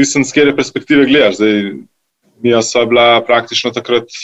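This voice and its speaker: A man's voice at medium pitch, monotone and flat in intonation. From grew up partly in Italy. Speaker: restaurant co-founder. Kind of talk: interview.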